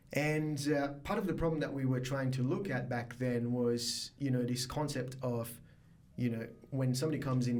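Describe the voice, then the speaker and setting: This man talks at a fairly quick pace in a medium pitch with fairly even intonation. Audible room echo and noticeable background noise are present. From Mauritius. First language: Mauritian Creole or French. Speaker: biotech startup founder. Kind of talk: podcast interview. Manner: hesitant, many fillers.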